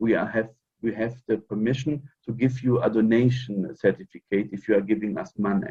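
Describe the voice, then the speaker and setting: At a fairly quick pace, a man with a non-native accent speaks in fairly even intonation. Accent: non-native English speaker. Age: 40s. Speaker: fraternal order member. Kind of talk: interview. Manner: halting.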